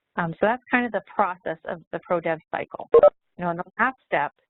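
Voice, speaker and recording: Using a plain, everyday voice, a woman speaks at a moderate pace with a fairly low pitch. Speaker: software trainer. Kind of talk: webinar presentation.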